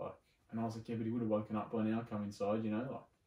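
Against a quiet background with audible room echo, a man speaks at medium pitch with an Australian accent. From Sydney, Australia. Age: 20s. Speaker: arborist. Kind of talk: casual chat. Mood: serious, reflective storytelling. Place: home room.

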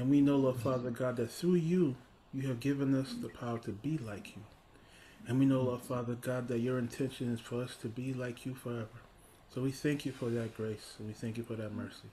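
A man speaks fairly quickly in a dark, mellow tone that is somewhat breathy, with fairly even intonation over light background noise. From Haiti. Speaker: Bible study leader; preacher or host. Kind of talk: Bible study discussion; prayer. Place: home room. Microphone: webcam.

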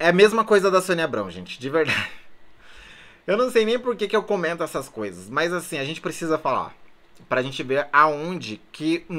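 Bright and sharp in tone, a man's high, animated voice moves through very wide pitch swings. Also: moderate pace. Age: 20s. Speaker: YouTuber, reality show commentator. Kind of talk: casual vlog commentary. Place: home room. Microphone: phone near.

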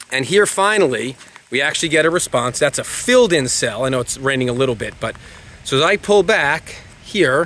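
At a fairly quick pace, a man talks with lively intonation. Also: dry sound with no echo. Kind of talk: tutorial. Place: street. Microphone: phone near.

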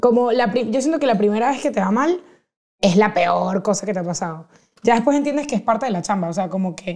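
A woman talks at a fairly quick pace with lively intonation against a quiet background. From Venezuela, Caracas. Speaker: podcaster and comedian. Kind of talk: casual chat. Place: studio. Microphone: lapel.

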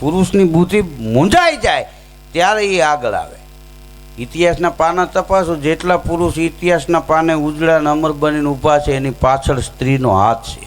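This man has a fairly high pitch and ordinary pitch variation. Noticeable background noise can be heard. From Saurashtra, Gujarat. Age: 40s. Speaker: folk humorist and storyteller. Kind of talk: comic storytelling at devotional program.

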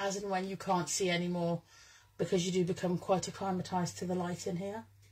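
A somewhat breathy woman against a quiet background. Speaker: presenter. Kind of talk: casual live stream chat. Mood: cheerful, chatty. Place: home room.

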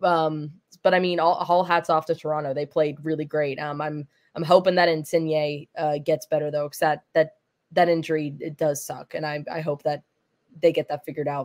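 A woman with a very deep, low pitch talks at a moderate pace in a monotone, flat manner, with a dry, close sound and no echo. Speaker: show producer. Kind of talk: casual chat.

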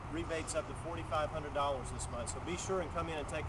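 A man talks fairly quickly while loud background noise fills the clip. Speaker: car dealership weather presenter. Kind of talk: casual outdoor weather report mixed with a sales pitch. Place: street. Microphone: phone near.

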